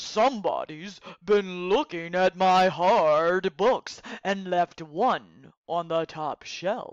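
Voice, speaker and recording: Pitched in the middle range, this put-on character voice moves at a very slow pace. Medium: read story.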